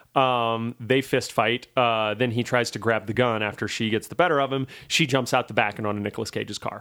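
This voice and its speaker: The voice has an American accent and a bright, sharp tone, moving at a fairly quick pace with hardly any pauses. The recording is very clean, with a silent background. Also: man, medium pitch for a man. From Louisiana, US South. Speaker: podcast host, film reviewer. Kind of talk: casual chat.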